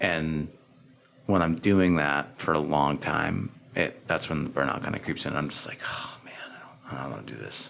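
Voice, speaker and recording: A man is whispering. He keeps a moderate pace. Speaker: podcast host, farmer. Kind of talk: interview host, casual conversation.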